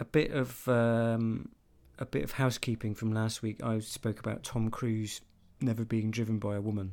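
At medium pitch and a moderate pace, a man with an English accent keeps his intonation fairly even in a very clean recording with a silent background. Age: 30s. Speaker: podcast co-host. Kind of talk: casual chat.

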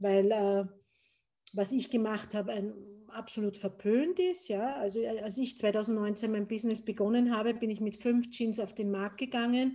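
With a dark, mellow tone and ordinary pitch variation, the speaker goes at a fairly slow pace. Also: woman, fairly high pitch for a woman. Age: 50s. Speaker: gin distiller. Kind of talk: casual interview. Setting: remote call.

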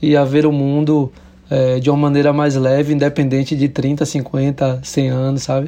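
A man with a dark, mellow tone and fairly high pitch talks fairly slowly in a monotone, flat intonation. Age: 30s. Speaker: musician and visual artist. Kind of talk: casual interview. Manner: halting, many fillers.

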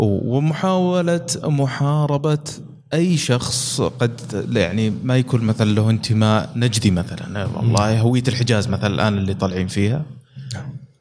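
A man speaks with lively intonation while noticeable background noise plays behind him. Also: medium pitch for a man, fairly slow pace. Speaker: podcast host. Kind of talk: podcast interview.

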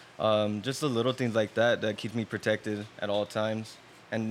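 Music plays in the background as a man talks at a moderate pace in a fairly low pitch. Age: 20s. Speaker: amateur boxer. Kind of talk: casual chat.

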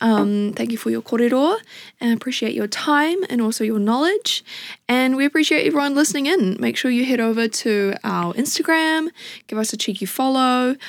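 With lively intonation and a high pitch, a woman talks at a moderate pace in a New Zealand accent. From New Zealand, Wellington. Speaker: podcast host and musician. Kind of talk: casual interview chat. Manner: giggly, informal.

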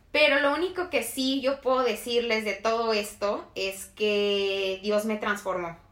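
Delivered at a fairly slow pace, the speech carries a bright, sharp tone. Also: woman. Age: 20s. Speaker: podcast co-host. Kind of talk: casual chat.

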